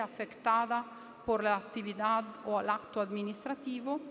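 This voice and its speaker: The speaker talks at a fairly slow pace with an Italian accent. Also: woman. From Italy. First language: Italian (speaking Spanish). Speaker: law professor. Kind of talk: academic panel talk. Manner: hesitant, with fillers.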